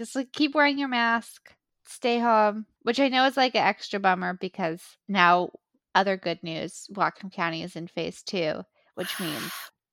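In a very clean recording with a silent background and a dry, close sound with no echo, a woman talks in a plain, everyday voice at medium pitch, with lively intonation and a fairly slow pace. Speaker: podcast co-host.

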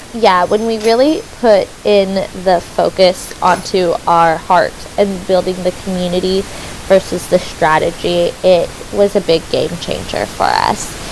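Amid noticeable background noise, a woman at a medium pitch speaks at a fairly slow pace with fairly even intonation. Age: 20s. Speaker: podcast host and self love coach. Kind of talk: casual chat.

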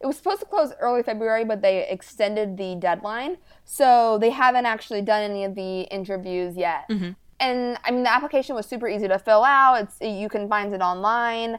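Over a very clean recording with a silent background, a woman with an ordinary speaking voice talks fairly quickly at a fairly high pitch with ordinary pitch variation. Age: 20s. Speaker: aspiring local politician. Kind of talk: interview.

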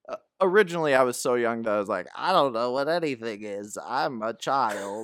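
Talking at a fairly quick pace, a man with medium pitch and lively intonation has a plain, everyday voice. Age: 30s. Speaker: movie fan guest. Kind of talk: casual chat.

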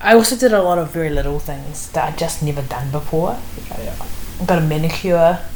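With a New Zealand accent, a woman speaks at a fairly low pitch and fairly quick pace with lively intonation, amid noticeable background noise and audible room echo. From New Zealand (Wellington). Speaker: author. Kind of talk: interview.

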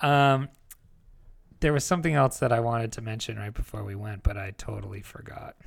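In a plain, everyday voice, a man speaks at a medium pitch and moderate pace with ordinary pitch variation, in a very clean recording with a silent background. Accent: American. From New Jersey. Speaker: podcast co-host. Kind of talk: casual chat. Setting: hotel room.

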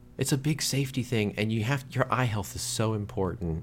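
There is vocal fry in this man's voice. His pitch varies in an ordinary way. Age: 30s. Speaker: podcast co-host. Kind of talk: casual chat.

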